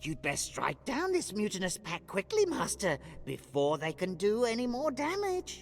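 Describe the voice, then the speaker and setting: A man puts on a character voice, high-pitched and delivered at a moderate pace. Background noise is clearly audible. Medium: video game. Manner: deferential, keeps saying master.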